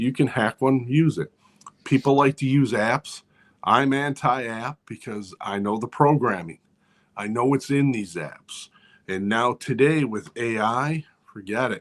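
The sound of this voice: Speaking fairly slowly, a man keeps a medium pitch with ordinary pitch variation.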